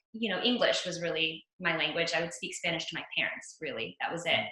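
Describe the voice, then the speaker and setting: With an American accent, a woman at a fairly low pitch speaks at a moderate pace amid audible room echo. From US, Venezuelan household, grew up all over, New Jersey. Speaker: actress. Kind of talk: interview. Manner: animated.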